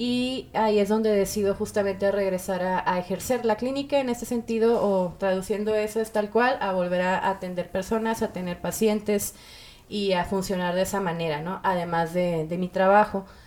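Noticeable background noise sits behind a woman whose medium pitch and fairly even intonation hold at a moderate pace. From Mexico, Monterrey. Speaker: music industry manager and psychologist. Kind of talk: casual interview chat.

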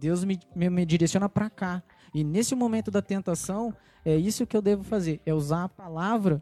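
This man's voice sits high in pitch and carries a dark, mellow tone, recorded dry and close with no echo on a very clean track with a silent background. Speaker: church member panelist. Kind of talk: casual church panel discussion.

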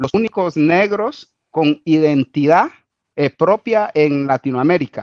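A man speaks fairly slowly at a fairly high pitch with ordinary pitch variation, the sound dry and close with no echo. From Guatemala, Garifuna Caribbean coast. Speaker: Garifuna community figure and musician. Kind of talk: interview. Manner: halting, many repetitions and fillers.

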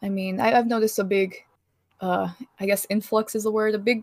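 In a very clean recording with a silent background, a woman of medium pitch speaks with fairly even intonation in a plain, everyday voice. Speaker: Twitch streamer guest. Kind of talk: casual chat.

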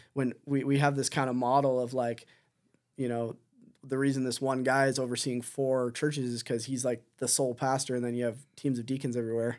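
A man's medium-pitched voice with an Ontario accent, fairly quick, flat and monotone, on a very clean recording with a silent background. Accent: Canadian English (Ontario). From Southern Ontario, Canada. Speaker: missionary church planter. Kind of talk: interview. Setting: studio.

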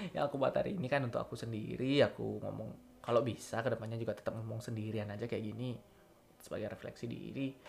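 A man's very fast speech with a Balinese accent. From Bali, Singaraja. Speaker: university student podcaster. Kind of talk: casual monologue voice note. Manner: unscripted, hesitant.

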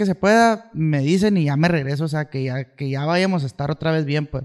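Dry and close with no echo, a man's unremarkable speaking voice comes at a fairly high pitch and moderate pace with ordinary pitch variation. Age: 20s. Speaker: musician. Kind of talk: casual chat.

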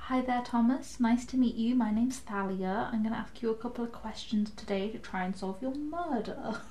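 Over noticeable background noise, a woman speaks at a fairly quick pace with hardly any pauses and ordinary pitch variation. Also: fairly high pitch for a woman. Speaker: tabletop RPG player. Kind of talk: live-play tabletop RPG, casual chat with in-character speech.

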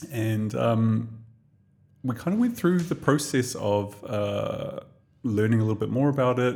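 A man with a New Zealand accent, medium pitch, ordinary pitch variation and a fairly slow pace. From New Zealand, Tokomaru Bay. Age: 40s. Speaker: podcast co-host. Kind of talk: casual interview chat.

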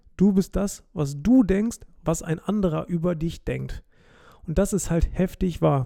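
Recorded very cleanly over a silent background, a man with a high pitch and a dark, mellow tone speaks at a fairly slow pace with ordinary pitch variation. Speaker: podcast host. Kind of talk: casual monologue.

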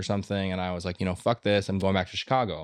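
Here a man speaks at a fairly low pitch. The background is quiet. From Minnesota, Minneapolis. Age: 30s. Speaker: writer and artist. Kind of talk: casual chat.

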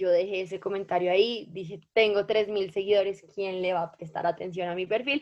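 A woman talks in a normal speaking voice at medium pitch with fairly even intonation. She keeps a fairly quick pace with hardly any pauses. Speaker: food influencer and law student. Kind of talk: podcast interview.

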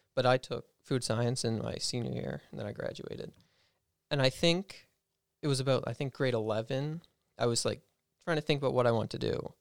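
A man talks at a fairly quick pace. His speech has long, frequent pauses. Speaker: culinary student. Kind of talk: casual chat. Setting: studio.

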